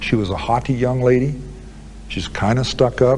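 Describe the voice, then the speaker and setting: A man talks at a moderate pace in a calm tone over noticeable background noise. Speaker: convicted serial killer, prison interviewee. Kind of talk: interview answer. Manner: calm, measured, conversational.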